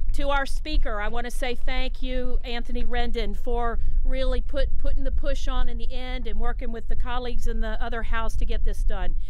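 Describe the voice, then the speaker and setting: Audible room echo colors this woman's voice, and noticeable background noise sits underneath. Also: hardly any pauses. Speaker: state legislator. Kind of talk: speech at bill signing. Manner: fast.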